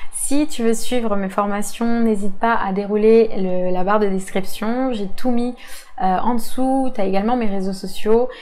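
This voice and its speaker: A woman with a fairly high pitch speaks slowly, her tone dark and mellow. Her intonation stays fairly even, and audible room echo is present. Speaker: social media marketing coach. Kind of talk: tutorial. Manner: hesitant, many fillers.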